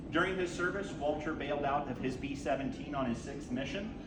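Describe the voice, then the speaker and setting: Noticeable background noise sits behind the voice. A man with a fairly high pitch speaks at a fairly quick pace. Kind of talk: ceremony speech.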